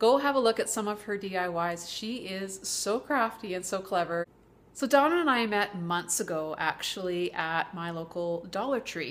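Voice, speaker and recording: The intonation is lively. A woman talks at a moderate pace. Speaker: vlogger. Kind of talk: casual vlog chat. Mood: warm, cheerful. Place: home room. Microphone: webcam.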